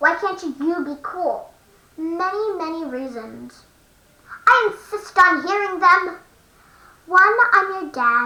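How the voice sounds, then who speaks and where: A put-on character voice at an extremely high pitch moves at a fairly slow pace with long, frequent pauses. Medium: read story. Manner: dry, deadpan.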